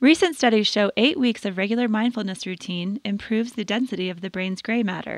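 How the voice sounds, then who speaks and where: The woman's pitch is fairly high, with ordinary pitch variation and an unremarkable speaking voice. She talks at a fairly quick pace. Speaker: podcast host. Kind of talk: scripted narration. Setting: studio.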